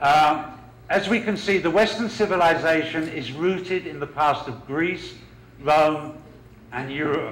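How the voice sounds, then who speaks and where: At a fairly slow pace, a man with a London accent speaks at a fairly high pitch with ordinary pitch variation amid audible room echo. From London, England. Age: 40s. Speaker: professor. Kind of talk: lecture. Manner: hesitant with fillers.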